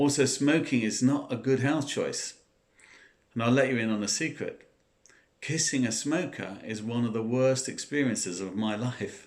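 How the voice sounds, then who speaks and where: Here a man speaks with a southern English accent. His pitch variation is ordinary. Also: medium pitch for a man, moderate pace. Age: 60s. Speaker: former smoker sharing advice. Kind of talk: personal talk to camera.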